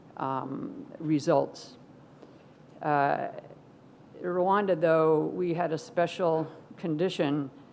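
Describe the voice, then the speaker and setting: Amid audible room echo, a woman speaks very slowly at a fairly low pitch, with long, frequent pauses. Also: ordinary pitch variation. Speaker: professor. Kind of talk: conference keynote talk.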